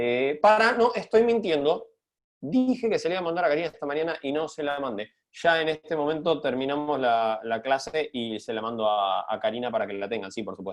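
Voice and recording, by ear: The pitch varies in an ordinary way. Delivery moves at a fairly quick pace. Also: man, medium pitch for a man.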